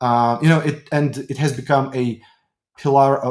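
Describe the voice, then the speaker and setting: At a moderate pace, the speaker talks with a Ukrainian accent. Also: man. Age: 30s. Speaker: tech company executive. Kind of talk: interview. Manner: halting.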